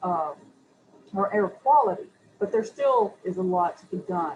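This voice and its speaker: A woman with a Southern US accent talks at a moderate pace and medium pitch. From US Southeast (Chattanooga, Tennessee). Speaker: city environmental official, panelist. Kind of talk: panel discussion. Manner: hesitant, repeats words.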